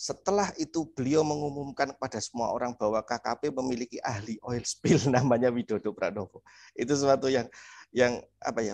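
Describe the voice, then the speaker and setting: Fairly quick male speech with ordinary pitch variation, dry with no echo, against a quiet background. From Indonesia. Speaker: oceanographer, government researcher; guest. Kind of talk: interview. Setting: video call. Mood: cheerful, smiling. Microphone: video call.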